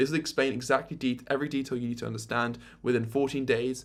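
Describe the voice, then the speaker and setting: Very fast speech with vocal fry. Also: man. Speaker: YouTube creator. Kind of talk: tutorial. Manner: animated.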